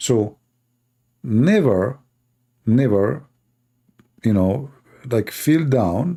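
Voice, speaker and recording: Speaking very slowly with a non-native accent, a man at a medium pitch uses lively intonation and a dark, mellow tone, with long, frequent pauses. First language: not English. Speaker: religious debater. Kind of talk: live debate show monologue. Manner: animated.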